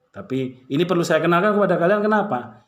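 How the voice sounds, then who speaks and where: Audible room echo fills the space. Within it, a man talks with lively intonation. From Malang, East Java, Indonesia. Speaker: high school teacher. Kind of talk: class introduction to students. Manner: casual, warm address to pupils.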